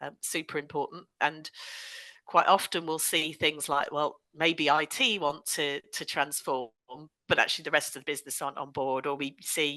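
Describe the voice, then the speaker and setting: A woman with a Bristolian accent speaks at a moderate pace with a very deep, low pitch and a bright, sharp tone. Her intonation is monotone and flat while her loudness swings widely, against a quiet background. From West Country England, Bristol. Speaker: digital transformation consultant. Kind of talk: podcast interview.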